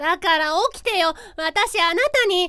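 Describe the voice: In a put-on character voice, a woman speaks fairly slowly at an extremely high pitch with a bright, sharp tone. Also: ordinary pitch variation.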